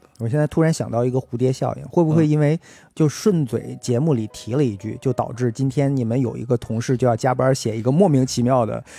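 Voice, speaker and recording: Music plays behind a man speaking at a medium pitch. He talks fairly quickly with ordinary pitch variation. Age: middle-aged. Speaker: podcast host. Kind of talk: casual chat. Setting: at home.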